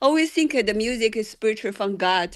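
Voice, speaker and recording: A woman's fairly high voice over a quiet background. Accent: non-native. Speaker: singer-songwriter. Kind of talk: feedback session chat. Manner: halting.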